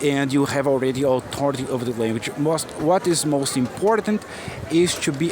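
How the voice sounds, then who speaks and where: A man with an American accent speaks at a moderate pace in a fairly high pitch. His pitch variation is ordinary, and noticeable background noise is present. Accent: Brazilian English, often taken for American. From Brazil, Minas Gerais. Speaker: English teacher. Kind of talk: motivational talk to camera. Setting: outdoors on a busy shopping street.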